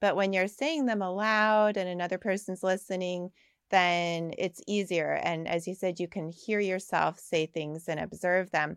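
A woman with an unremarkable speaking voice, medium pitch, fairly even intonation and an American accent, in a very clean recording with a silent background. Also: moderate pace. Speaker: clinical psychologist and author. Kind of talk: interview chat.

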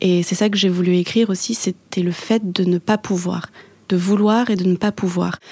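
In a dry, close sound with no echo, a woman speaks at a medium pitch in a flat monotone, with very even loudness. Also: moderate pace. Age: 20s. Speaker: author. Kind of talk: interview. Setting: restaurant.

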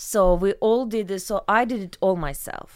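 A woman speaks with a Ukrainian accent. Her pace is fairly slow. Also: very clean recording, silent background. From Ukraine. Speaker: salon founder and massage therapist. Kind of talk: casual interview chat.

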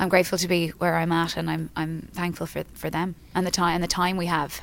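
A woman talks at a fairly quick pace in a fairly low pitch, with vocal fry. Her pitch moves very little.

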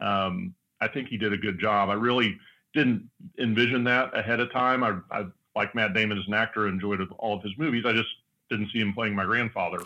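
An American man with an unremarkable speaking voice talks at a fairly quick pace in a fairly low voice with ordinary pitch variation. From US West (Southern California). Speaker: car company board member. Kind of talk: casual interview. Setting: studio.

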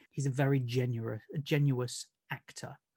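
Somewhat breathy, a man's voice comes through. The recording is very clean, with a silent background. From Nottingham, England. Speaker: author. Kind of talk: casual chat.

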